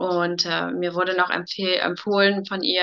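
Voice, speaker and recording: With a bright, sharp tone, a woman talks at a medium pitch. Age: 30s. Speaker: coaching client, mother. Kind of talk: testimony in casual interview.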